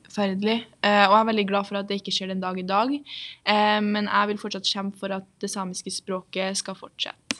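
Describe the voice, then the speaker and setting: At a fairly quick pace, a woman speaks in a flat monotone at a medium pitch, recorded very cleanly with a silent background. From Norway, Trondheim. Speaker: guest speaking about Sami identity. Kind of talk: interview.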